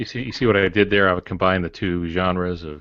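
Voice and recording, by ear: A man with a low pitch talks at a fairly quick pace, his intonation fairly even.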